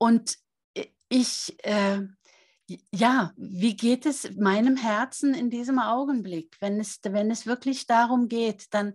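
A woman's somewhat breathy, fairly high voice at a very slow pace, against a quiet background. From Norway. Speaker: author and seminar leader. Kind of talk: interview.

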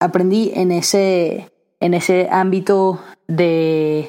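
The woman's tone is dark and mellow. She holds a medium pitch with monotone, flat intonation. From Venezuela, raised in Aberdeen, Scotland from age six. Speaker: podcast host and entrepreneur. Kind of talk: solo podcast monologue. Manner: casual with frequent fillers and restarts.

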